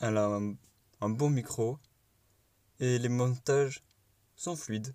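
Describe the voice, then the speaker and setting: A man with a southern French accent speaks at a very slow pace, his intonation fairly even. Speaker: YouTuber. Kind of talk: reaction commentary.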